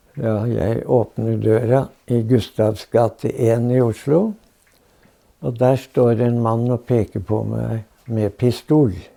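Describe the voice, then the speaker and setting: Very slowly, a man speaks at a medium pitch in a dark, mellow tone with fairly even intonation. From Norway. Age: 80s+. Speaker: war veteran, former spy. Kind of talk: interview answer.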